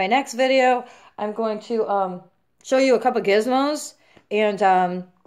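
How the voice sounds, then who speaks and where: Over a very clean recording with a silent background, a woman speaks fairly slowly in a normal speaking voice. Her pitch is fairly high, with ordinary variation. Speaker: vlogger sharing injury recovery experience. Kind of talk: casual vlog monologue. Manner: casual, filler-heavy.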